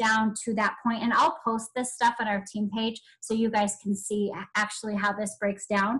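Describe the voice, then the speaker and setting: Fairly high in pitch, a woman's voice keeps a fairly even intonation. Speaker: direct sales team leader. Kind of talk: team training call. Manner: fast.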